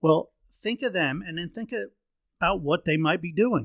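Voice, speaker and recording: This man's high voice has a bright, sharp tone and lively intonation, moving at a moderate pace in a dry, close sound with no echo. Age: 60s. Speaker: leadership podcast host. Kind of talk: solo podcast monologue, leadership tips. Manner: casual, conversational.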